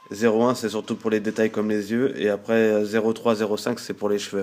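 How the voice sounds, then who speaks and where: Against noticeable background noise, a man with a fairly low pitch talks in a monotone, flat way. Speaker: artist showing drawing supplies. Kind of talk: tutorial. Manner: hesitant, many fillers.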